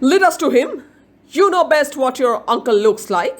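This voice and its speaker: A put-on character voice from a woman, pitched high, at a moderate pace. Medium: read story.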